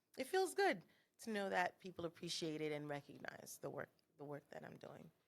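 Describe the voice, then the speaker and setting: A woman speaks at a moderate pace with an American accent in a plain, everyday voice. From South Florida, Haitian American family. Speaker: cultural consultant. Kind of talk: interview.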